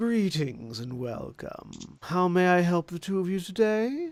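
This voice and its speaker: A man uses a put-on character voice, husky and high-pitched. His pitch swings very widely. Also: moderate pace. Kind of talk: polite, formal.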